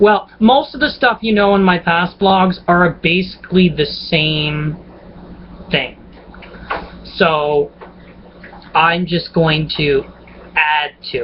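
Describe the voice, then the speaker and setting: Very slowly and with long, frequent pauses, a man speaks at a high pitch against noticeable background noise. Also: ordinary pitch variation. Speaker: vlogger. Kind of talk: casual vlog monologue. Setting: at home on a laptop webcam. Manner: chatty, rambling with fillers.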